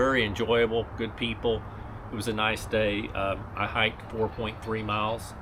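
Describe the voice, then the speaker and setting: The delivery is monotone and flat at a moderate pace. Audible room echo and noticeable background noise are present. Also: man, fairly low pitch for a man. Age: 60s. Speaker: ultra runner vlogger. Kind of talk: casual vlog update. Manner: relaxed, with many fillers.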